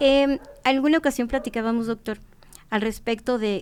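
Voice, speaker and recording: On a very clean recording with a silent background, a woman speaks at a fairly high pitch and a moderate pace, with ordinary pitch variation. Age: 60s. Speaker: traditional food knowledge expert. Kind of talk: podcast conversation. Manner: halting.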